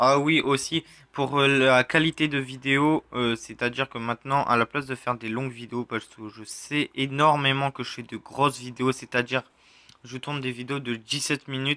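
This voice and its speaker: Bright and sharp in tone, a man speaks at a moderate pace and medium pitch with monotone, flat intonation. His loudness swings widely, and the sound is dry and close with no echo. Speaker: gaming youtuber. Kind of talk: channel update vlog. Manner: halting, many hesitations.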